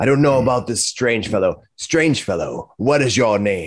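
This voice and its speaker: Putting on a character voice, a man sounds raspy and pompous, speaking at a medium pitch and a moderate pace. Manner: pompous, commanding.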